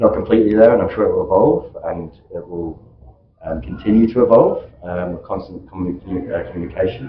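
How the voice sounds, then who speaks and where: A man talks at a very fast pace with big swings in loudness. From UK. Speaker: vendor representative on panel. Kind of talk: panel discussion.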